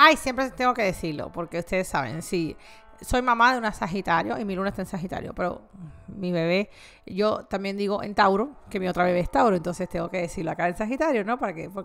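A woman talks at a very fast pace. Faint music plays in the background. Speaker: tarot reader. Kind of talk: tarot reading monologue, casual direct address. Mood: warm, friendly.

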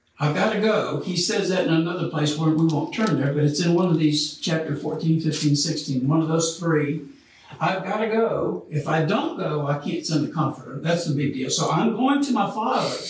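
With audible room echo and light background noise, a man speaks at a moderate pace in a fairly high pitch with ordinary pitch variation. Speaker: Bible study teacher. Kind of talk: Bible study lecture. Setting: church. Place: classroom. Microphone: camera far.

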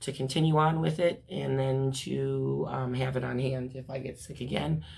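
Raspy and with vocal fry, a woman's extremely low voice has a slightly mellow tone, little pitch movement and a fairly slow pace.

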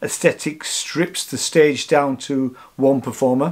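A man talks, and the background is quiet. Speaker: vlogger. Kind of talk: casual vlog chat. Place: home room. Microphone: camera far.

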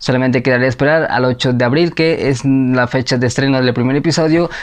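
A man's fairly quick delivery, with very even loudness and fairly even intonation. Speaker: anime news youtuber. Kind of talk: casual vlog chat. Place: home room. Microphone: lapel.

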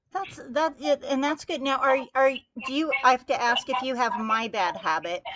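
A woman speaks at a high pitch. Light background noise is present. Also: lively intonation, moderate pace. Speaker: podcast host. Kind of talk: interview. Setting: phone call. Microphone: recorded over phone, some echo; phone line.

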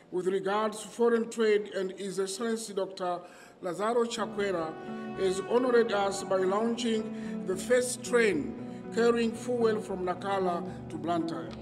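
A man talks at a fairly slow pace. Clear music runs in the background. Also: ordinary pitch variation. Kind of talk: formal speech. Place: open country. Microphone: podium.

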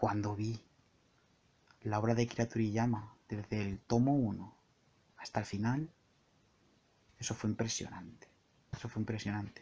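A man speaks at a fairly slow pace in a fairly low pitch, with a dark, mellow, relaxed tone that is somewhat breathy. His intonation is fairly even, with long, frequent pauses. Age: 20s. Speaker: podcaster and entertainment journalist. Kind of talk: solo improvised monologue. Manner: relaxed, intimate; halting, frequent word repetitions.

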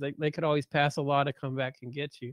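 The man's fairly high voice sounds dry with no echo against a quiet background. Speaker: nonprofit director and moderator; panelist. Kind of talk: moderating a talk. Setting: video call. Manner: hesitant, filler-heavy. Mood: thoughtful, reasoning aloud. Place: home room. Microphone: webcam.

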